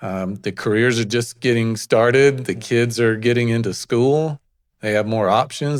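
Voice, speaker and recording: A man talks with a strong Alabama accent at a moderate pace. His medium pitch holds fairly even intonation. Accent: Southern US (Alabama), strong. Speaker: real estate agent. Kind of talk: interview. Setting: studio.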